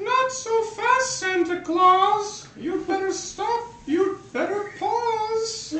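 An extremely high-pitched cartoonish character voice speaks very slowly, with hardly any pauses and a slight echo. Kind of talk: homemade puppet show rhyming. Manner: gloating, threatening.

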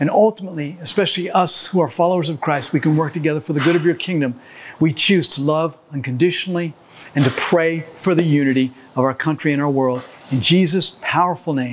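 Talking at a very fast pace, a man uses a fairly high pitch with ordinary variation. Light background noise can be heard. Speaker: church pastor leading prayer. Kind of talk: fervent prayer led for a church. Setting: construction site during demolition, filmed video. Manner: earnest, impassioned, rhythmic invocation of 'Lord' and 'God'; upbeat, energetic in the opening demo intro. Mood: earnest, fervent. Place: hall.

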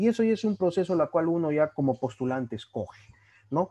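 A man's dark, mellow voice at a fairly quick pace over a quiet background. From Peru, Trujillo; Peru. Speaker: orthopedic surgery resident doctor. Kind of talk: lecture. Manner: casual, conversational. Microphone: video call.

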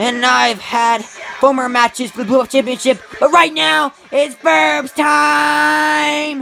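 Over music in the background, the speech moves at a fairly slow pace. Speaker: toy wrestling show host and commentator. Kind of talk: in-character trash-talk wrestling promo between play-by-play calls. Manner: taunting, swaggering villain voice, calling opponent boy; excitable, shouting play-by-play with repeated yells.

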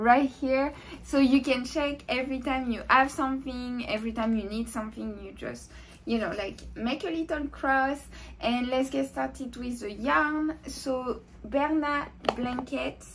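A woman's high voice at a fairly slow pace, with ordinary pitch variation and light background noise. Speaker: crochet tutorial host. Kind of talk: tutorial. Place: home room. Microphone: camera far.

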